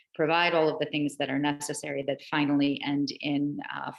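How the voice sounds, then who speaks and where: The intonation stays monotone and flat. Vocal fry runs through the voice. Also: woman. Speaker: presenter on digital equity. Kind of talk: online meeting presentation. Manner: fast.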